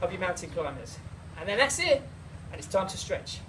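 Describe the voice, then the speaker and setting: A fairly quick delivery in a South East London accent, with noticeable background noise. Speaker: personal trainer. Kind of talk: workout tutorial.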